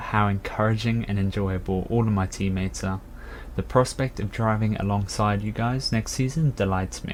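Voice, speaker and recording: With a British accent, the man speaks at a moderate pace, his fairly low pitch held in fairly even intonation. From UK. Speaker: racing game player introducing himself. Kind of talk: prepared self-introduction.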